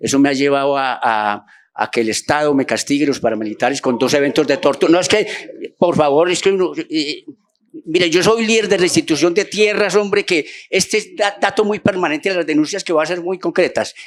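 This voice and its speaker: This man's high voice moves at a fairly quick pace with lively intonation. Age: 60s. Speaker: human rights activist, audience member at forum. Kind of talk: public forum intervention. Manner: halting, many fillers and repetitions.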